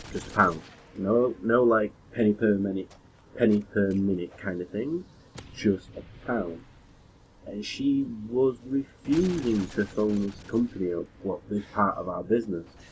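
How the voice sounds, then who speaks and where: A man speaks at a fairly low pitch with a British accent. His pace is fairly slow, with ordinary pitch variation. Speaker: gaming YouTuber and call centre worker. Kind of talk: casual gameplay commentary vlog.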